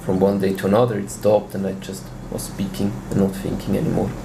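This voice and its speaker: A man with a Swiss German accent talks at a moderate pace in a fairly low voice. Audible room echo and noticeable background noise are present. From Switzerland. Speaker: language learner. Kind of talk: interview.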